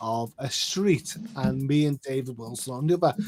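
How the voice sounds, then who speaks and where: A man talks at a fairly high pitch. His pitch varies in an ordinary way while music plays behind him. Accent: Liverpool. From northwest England, Liverpool. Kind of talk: casual chat.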